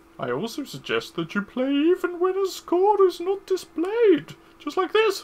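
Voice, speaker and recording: A squeaky, extremely high put-on character voice at a moderate pace. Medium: game stream. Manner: long-winded, instructive.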